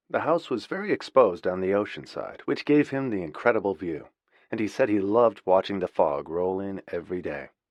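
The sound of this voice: An unforced reading voice carries the text.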